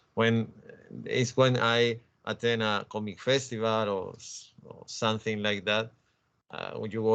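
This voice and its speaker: With a Spanish accent, a man speaks at a medium pitch and a moderate pace. His intonation is monotone and flat. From Spain. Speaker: comics scholar and author. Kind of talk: interview conversation. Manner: halting, many repetitions.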